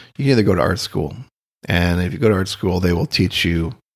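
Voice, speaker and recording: A man with an American accent speaks at a very deep, low pitch. His voice is somewhat breathy, with lively intonation. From US Midwest, Austin, Minnesota. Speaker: painter. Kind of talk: casual interview conversation. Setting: artist's studio. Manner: halting, many fillers.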